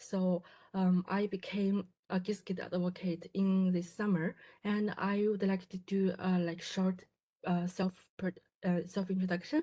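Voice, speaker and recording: A woman speaks at a fairly slow pace with a Chinese accent, her intonation monotone and flat and her voice somewhat breathy. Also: medium pitch for a woman. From China. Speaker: graduate student in quantum computing. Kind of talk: presentation. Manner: halting, many fillers and restarts.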